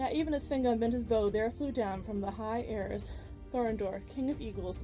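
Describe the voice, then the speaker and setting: With music playing behind her, a woman speaks at a fairly quick pace with an American accent. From Ohio. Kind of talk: fantasy book reading aloud.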